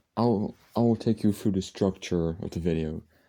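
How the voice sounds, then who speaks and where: A man speaks quietly in a very deep, low pitch. His tone is dark and mellow, with fairly even intonation. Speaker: music collection vlogger. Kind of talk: casual video monologue. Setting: at home late at night. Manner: speaking quietly; halting, many fillers and restarts.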